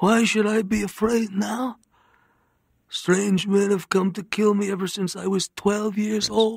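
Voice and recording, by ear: A put-on character voice, gravelly and hoarse with vocal fry, a slightly husky edge and a strained quality, little pitch movement, and a fairly slow pace. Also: man, high pitch for a man.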